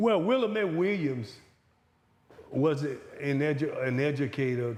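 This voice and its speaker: A man's fairly high-pitched voice at a fairly slow pace, with lively intonation and audible room echo. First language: Louisiana Creole. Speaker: retired college baseball coach. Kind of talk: interview conversation.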